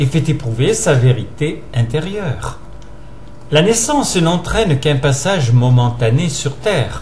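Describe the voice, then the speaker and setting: Over noticeable background noise, a man with a fairly high pitch speaks very slowly, his intonation lively. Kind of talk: reading a philosophical essay aloud.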